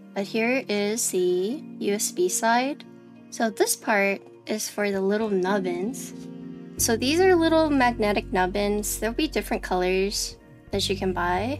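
Clear music plays in the background. Over it, a woman speaks fairly slowly. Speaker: keyboard streamer. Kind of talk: casual livestream product showcase. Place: home room.

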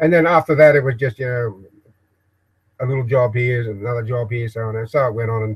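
This man talks at a moderate pace with fairly even intonation and a somewhat breathy sound. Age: old. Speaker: video blogger. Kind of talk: live-stream monologue. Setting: home shed office, live broadcast. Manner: halting. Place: workshop. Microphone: webcam.

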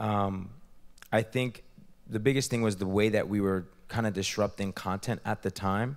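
A man speaks in an ordinary speaking voice with an American accent and a fairly low pitch. His pace is moderate, his intonation fairly even, and the background quiet. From US, New Jersey. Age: 30s. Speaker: entrepreneur and investor; guest. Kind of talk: interview. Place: hall. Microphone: handheld.

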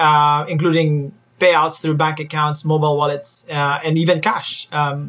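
A man does the talking. He has a bright, sharp tone. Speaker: guest. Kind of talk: interview answer.

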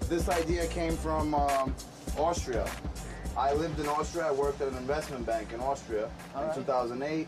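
Over clear background music, a man with a New York accent talks at a moderate pace. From New York, grew up there. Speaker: food truck owner and cook. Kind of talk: interview answer. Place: kitchen.

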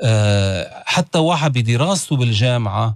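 Against a quiet background, a man speaks fairly slowly with lively intonation, his somewhat breathy voice dry with no echo. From Lebanon (Beirut). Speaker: religious leader; guest. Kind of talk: interview. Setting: studio. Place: studio. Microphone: studio mic.

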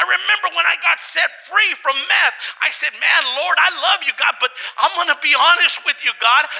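A man speaks at a moderate pace with few pauses. His tone is bright and sharp, with vocal fry.

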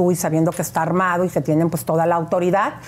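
The speaker is a woman with a fairly low pitch. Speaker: gossip show host. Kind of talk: phone interview. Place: studio. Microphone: lapel.

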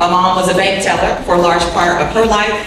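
The voice is monotone and flat in intonation. Strong room echo and noticeable background noise surround it. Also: woman. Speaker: presenter. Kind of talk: presentation talk. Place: hall.

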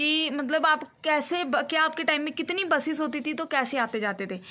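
A woman's high voice has a bright, sharp tone. Her pitch varies in an ordinary way.

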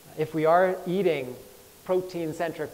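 A man's high voice with an American accent. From US. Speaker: chef. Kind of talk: talk to live audience. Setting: stage with audience. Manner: halting. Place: hall. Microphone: lapel.

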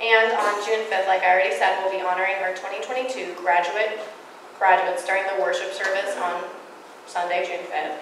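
A woman talks with fairly even intonation. The room echo is audible, and there is light background noise. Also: moderate pace. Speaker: church announcer. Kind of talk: church announcements. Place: church. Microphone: podium.

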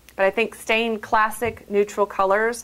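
The woman talks at a moderate pace. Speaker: framing design instructor. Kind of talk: tutorial. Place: shop.

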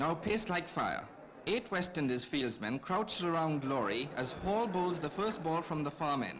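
The speaker sounds excited and talks at a moderate pace with lively intonation. Background noise is noticeable. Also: man, fairly high pitch for a man. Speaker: cricket commentator. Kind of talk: 1965 cricket film commentary, scripted newsreel-style narration. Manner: brisk, clipped, formal newsreel delivery; measured, polished, gently excited at key moments.

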